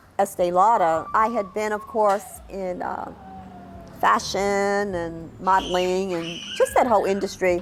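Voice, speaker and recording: Flat and monotone, the speaker talks in a New York accent with music playing in the background. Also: woman. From New York City. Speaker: documentary narrator telling own life story. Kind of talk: personal life-story narration.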